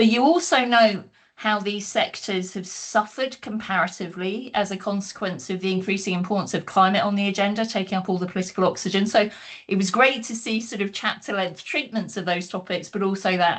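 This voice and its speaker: A woman with a British accent, medium in pitch with ordinary pitch variation, at a fairly quick pace. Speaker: academic panelist. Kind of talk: book launch panel talk. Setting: online video call. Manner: fast.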